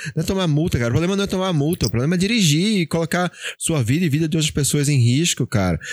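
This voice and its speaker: In a very clean recording with a silent background, a man with a fairly high pitch talks at a very fast pace, his intonation lively and his loudness very even. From Pernambuco, Brazil. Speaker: podcast host. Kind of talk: casual chat. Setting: live stream.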